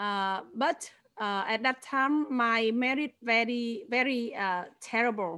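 This woman has a fairly high pitch and a bright, sharp tone, with a Vietnamese accent. She talks at a very slow pace with ordinary pitch variation. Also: very clean recording, silent background. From northern Vietnam. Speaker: former actress and church leader. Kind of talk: testimony. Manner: halting.

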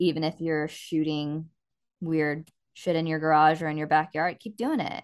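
At a moderate pace against a quiet background, a woman with an American accent speaks at a very deep, low pitch with fairly even intonation. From small-town Texas. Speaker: film producer. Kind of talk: casual interview.

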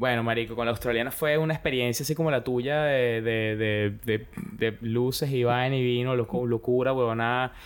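A normal speaking voice, with fairly even intonation, a moderate pace and very even loudness. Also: man, medium pitch for a man. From Venezuela, Caracas. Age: 20s. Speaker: phone repair worker. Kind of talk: casual chat. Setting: home studio.

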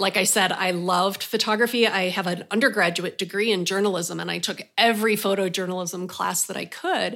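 A woman with an unremarkable speaking voice talks at a medium pitch with fairly even intonation and hardly any pauses. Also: fairly quick pace. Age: 50s. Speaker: portrait photographer, former school counselor. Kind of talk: interview.

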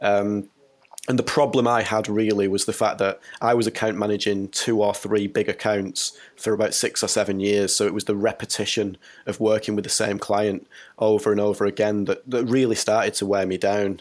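A fairly low-pitched man in a monotone, flat intonation at a moderate pace, in a very clean recording with a silent background. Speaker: logo designer. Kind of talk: interview conversation.

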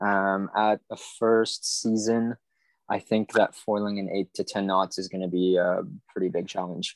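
The man's voice is fairly low and flat, with monotone intonation. The sound is dry and close, with no echo. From Quebec (Montreal). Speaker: wing foil expert. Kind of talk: casual chat. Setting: video call.

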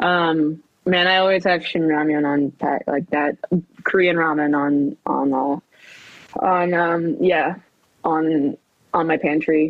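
A woman's very deep, low voice with an American accent, very even loudness and a very slow pace. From US West Coast (Southern California). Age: 30s. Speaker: stand-up comedian. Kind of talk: casual chat. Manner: animated, laughs often.

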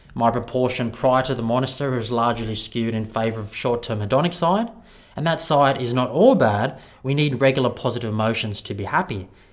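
This man has an Australian accent and a medium pitch. He talks at a fairly quick pace with ordinary pitch variation. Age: 30s. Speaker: podcast host and wellbeing speaker. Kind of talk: keynote talk.

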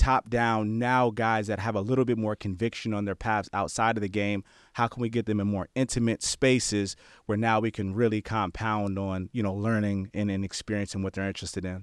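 Recorded very cleanly against a silent background, dry and close with no echo, a man with an American accent talks at a fairly quick pace and a fairly low pitch in a monotone, flat delivery. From New Jersey, then Bay Area, California. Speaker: former college football player, player development director. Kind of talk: interview.

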